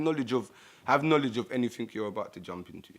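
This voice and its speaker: A man with a normal speaking voice, ordinary pitch variation and a fairly quick pace. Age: 20s. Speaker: young father. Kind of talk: testimony.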